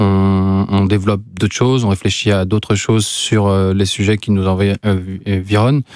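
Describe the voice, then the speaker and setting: A man speaks at a fairly slow pace in a fairly low pitch, his monotone delivery flat and his loudness very even, with a dry sound, no echo and a quiet background. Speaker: visual artist, photographer; guest. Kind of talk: interview. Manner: halting, many fillers. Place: studio. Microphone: studio mic.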